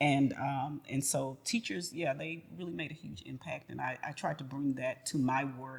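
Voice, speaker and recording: A woman speaks at a very deep, low pitch with vocal fry and ordinary pitch variation. She keeps a moderate pace with hardly any pauses. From Houston, Texas. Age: 50s. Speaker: retired educator and arts center founder. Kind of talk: interview. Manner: hesitant fillers, many ums.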